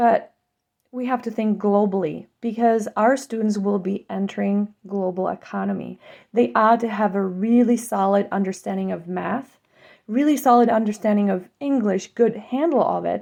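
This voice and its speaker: With a Czech accent, a woman of medium pitch speaks at a moderate pace in a dark, mellow tone with ordinary pitch variation against a quiet background. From Czech Republic. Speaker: school board candidate. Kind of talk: campaign statement.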